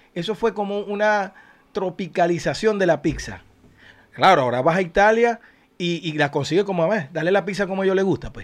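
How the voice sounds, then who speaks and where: Delivery is fairly quick. The pitch varies in an ordinary way. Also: man, high pitch for a man. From Venezuela, Zulia eastern coast. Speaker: podcast co-host, musician. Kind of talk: casual chat. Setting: studio.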